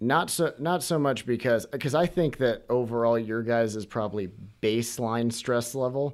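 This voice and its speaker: A normal speaking voice moves at a moderate pace with ordinary pitch variation on a very clean recording with a silent background. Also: man, medium pitch for a man. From Washington, US Pacific Northwest. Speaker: medical student. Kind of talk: casual chat.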